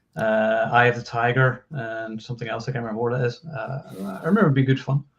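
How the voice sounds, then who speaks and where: Speaking very fast, a man with a somewhat breathy voice keeps a medium pitch and ordinary pitch variation. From Scotland. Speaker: film website writer. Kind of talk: casual chat.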